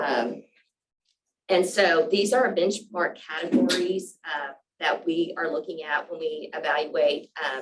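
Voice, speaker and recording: Using an ordinary speaking voice, a woman talks at a fairly slow pace with a fairly low pitch and lively intonation. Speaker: state program presenter. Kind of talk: presentation at a public board meeting. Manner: many fillers (um, uh).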